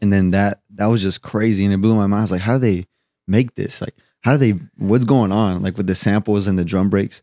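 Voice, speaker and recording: Over music in the background, a man talks at a fairly quick pace with fairly even intonation in a dry, close sound with no echo. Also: fairly low pitch for a man. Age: 20s. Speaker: musician. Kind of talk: casual chat.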